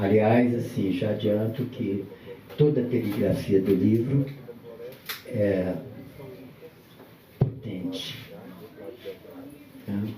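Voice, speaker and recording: This soft-spoken man has a fairly low pitch and talks at a very slow pace with long, frequent pauses. Audible room echo and noticeable background noise fill the recording. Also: ordinary pitch variation. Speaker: guest speaker at book launch. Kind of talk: live talk at book launch event. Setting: event venue with audience and microphone.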